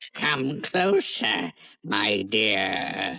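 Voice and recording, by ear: In a put-on character voice, a woman speaks at a very slow pace with an extremely low pitch, vocal fry, big pitch swings and a bright, sharp tone.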